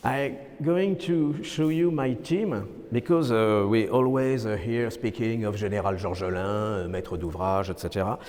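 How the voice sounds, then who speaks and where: A man with a French accent talks at a fairly slow pace with lively intonation. Room echo and noticeable background noise come through. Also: medium pitch for a man. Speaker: architect. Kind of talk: lecture. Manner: halting.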